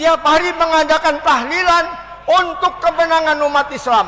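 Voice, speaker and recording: Over noticeable background noise, a man speaks at a fairly slow pace in a raised, projected voice. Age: 70s. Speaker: former youth militia activist. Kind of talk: testimony.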